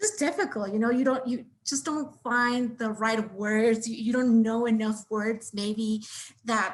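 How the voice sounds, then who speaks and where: With a Spanish accent, a woman talks fairly slowly in a fairly high, somewhat breathy voice with monotone, flat intonation. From Mexico City. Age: 20s. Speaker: MBA applicant. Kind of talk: interview. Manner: halting.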